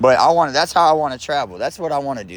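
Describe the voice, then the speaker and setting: With an American accent and vocal fry, a man talks at a fairly quick pace with lively intonation. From South Florida (Lake Worth, Palm Beach). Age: 40s. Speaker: livestreamer. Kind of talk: casual livestream chat. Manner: animated; loud.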